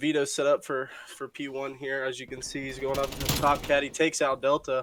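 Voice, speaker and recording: This man's voice sits fairly high and stays monotone and flat, while its loudness swings widely. Noticeable background noise runs underneath. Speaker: esports caster. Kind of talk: live commentary.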